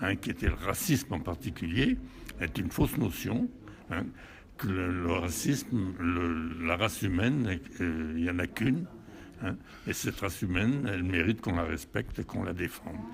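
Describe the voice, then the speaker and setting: The voice is somewhat breathy and moves at a moderate pace. Its pitch varies in an ordinary way. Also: man, very deep, low pitch for a man. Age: 80s+. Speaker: war veteran. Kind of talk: interview. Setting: hotel event. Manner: halting.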